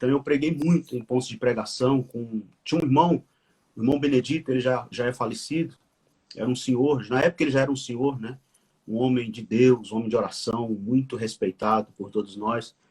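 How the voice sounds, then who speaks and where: At a fairly quick pace, a man speaks at medium pitch with ordinary pitch variation and a somewhat breathy quality. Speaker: pastor and author. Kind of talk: conversational interview, live stream. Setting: live video stream. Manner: halting, with repetitions.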